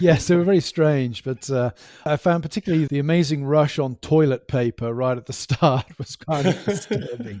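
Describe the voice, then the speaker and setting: Heard in a dry, close sound with no echo, a man with an English accent and a fairly high pitch uses a dark, mellow tone, ordinary pitch variation, and a moderate pace. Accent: English accent, kept after years in US. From England, West Country (Gloucestershire). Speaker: professor. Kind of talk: casual interview chat.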